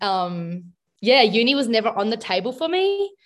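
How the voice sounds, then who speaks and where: A woman speaks in an Australian accent. Her pitch is fairly high. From South Australia. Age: 20s. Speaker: social work student. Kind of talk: interview.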